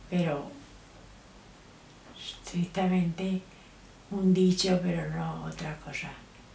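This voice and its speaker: A woman speaks very slowly at a medium pitch. There is audible room echo and light background noise. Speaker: grandmother interviewed. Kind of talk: interview answer. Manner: slow, hesitant. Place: home room.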